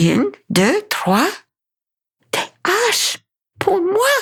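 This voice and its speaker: Very slowly, a woman delivers lines in a put-on character voice at an extremely high pitch. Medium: read story. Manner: earnest, plain.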